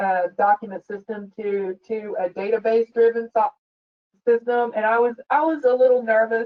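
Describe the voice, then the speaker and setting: At a moderate pace, a woman speaks in a fairly high voice with fairly even intonation. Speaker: director of specifications at an architecture firm. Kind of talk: webinar discussion. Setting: online webinar. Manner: loud; halting, many repetitions.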